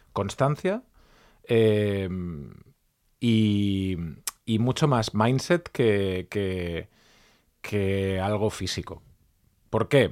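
Very slow, fairly low-pitched speech from a man, broken by long, frequent pauses, on a very clean recording with a silent background. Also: ordinary pitch variation. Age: 40s. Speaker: journalist and podcaster. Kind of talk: interview. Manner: halting.

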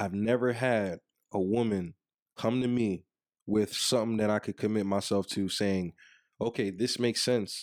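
An ordinary speaking voice from a man, fairly low-pitched, at a moderate pace with fairly even intonation and very even loudness, dry and close with no echo on a very clean recording with a silent background. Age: 30s. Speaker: podcast co-host. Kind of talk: casual chat. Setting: video recording.

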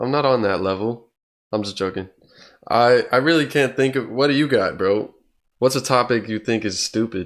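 A man talks in a normal speaking voice. His pace is moderate and his pitch variation ordinary. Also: medium pitch for a man, very clean recording, silent background. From Oklahoma, Tulsa. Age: 20s. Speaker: podcast host. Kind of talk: casual chat.

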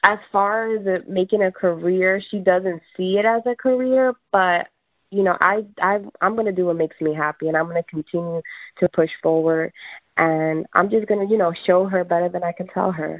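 A woman speaks in a normal speaking voice at medium pitch. Her pace is moderate. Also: ordinary pitch variation. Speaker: skincare business owner. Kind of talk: casual interview. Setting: phone call.

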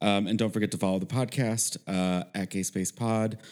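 The voice has a dark, mellow tone and fairly even intonation, in a very clean recording with a silent background. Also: man. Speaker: podcast co-host. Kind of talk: casual banter and interview. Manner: playful, jokey.

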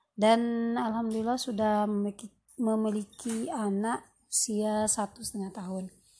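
Against a quiet background, a woman with a fairly high pitch and a dark, mellow, somewhat breathy tone speaks at a moderate pace with fairly even intonation. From West Sumatra (Minang, Pariaman family). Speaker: podcaster, housewife and writer. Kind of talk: solo podcast introduction. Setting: recorded late at night.

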